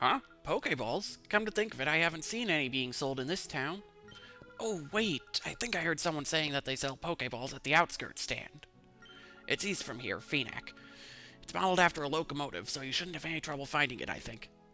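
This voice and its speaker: Over clear background music, a man puts on a raspy character voice with a fairly high pitch and speaks at a fairly quick pace. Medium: actual play.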